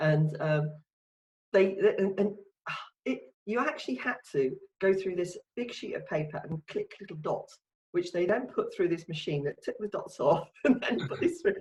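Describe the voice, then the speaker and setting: A woman speaks in a London accent. She keeps a moderate pace. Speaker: marketing consultant. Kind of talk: casual chat. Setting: video call.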